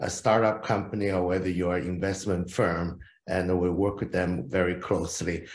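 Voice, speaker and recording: Amid audible room echo, a man speaks at a moderate pace in a very deep, low voice. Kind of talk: conference presentation. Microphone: video call.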